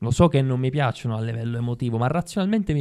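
A man with a dark, mellow tone talks over a quiet background. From Sicily (Ribera); Sicily. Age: 30s. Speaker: actor. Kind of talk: casual interview chat. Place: studio. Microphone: studio mic.

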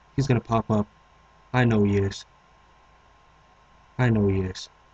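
A man at a moderate pace, somewhat breathy, with fairly even intonation and a dry, close sound with no echo. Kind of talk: let's play gaming commentary.

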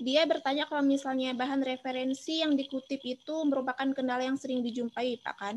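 High-pitched woman at a fairly quick pace, light background noise behind her. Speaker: student moderator. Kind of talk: webinar moderation. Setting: video call. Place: home room. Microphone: video call.

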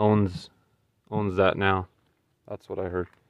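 Against a quiet background, a man's voice comes through dry with no echo. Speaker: car hobbyist vlogger. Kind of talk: casual vlog walkaround commentary. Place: open country. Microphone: phone near.

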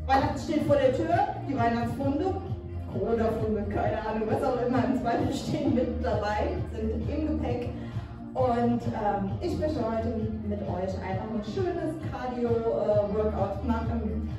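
The speech comes at a fairly slow pace, with strong room echo and clear music in the background. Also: woman. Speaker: fitness instructor. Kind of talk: workout instruction. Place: gym.

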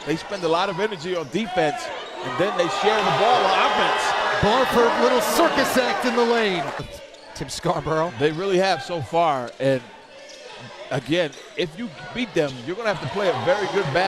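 Over noticeable background noise, a man talks in a high pitch at a moderate pace. His intonation is lively. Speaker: basketball broadcast commentator. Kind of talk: live basketball game commentary, play-by-play mixed with color analysis. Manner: excitable, punchy catchphrases on big plays.

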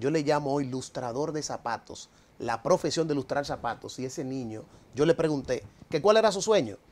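Pitched fairly high, a man talks at a moderate pace. His intonation is lively. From Dominican Republic. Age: 40s. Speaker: economist and political movement leader. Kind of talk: TV interview. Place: studio. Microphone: lapel.

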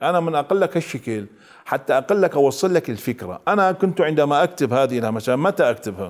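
A man at a moderate pace, fairly high pitch and very wide pitch swings against a quiet background. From Iraq, Mosul; Iraq. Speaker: researcher and writer; guest. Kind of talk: TV interview. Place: studio. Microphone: lapel.

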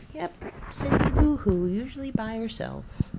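Speech unfolds at a very slow pace. Light background noise can be heard. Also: woman. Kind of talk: casual talk to pets. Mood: affectionate, playful. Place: home room. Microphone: phone near.

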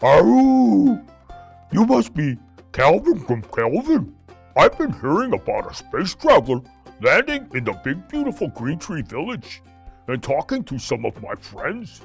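Over faint background music, a man uses a cartoonish character voice at a fairly high pitch and a moderate pace. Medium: puppet.

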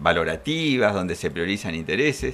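The pace holds moderate. Pitch swings very widely throughout. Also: man. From Argentina. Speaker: legal expert; guest. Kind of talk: studio interview. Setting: studio. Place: studio. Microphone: podium.

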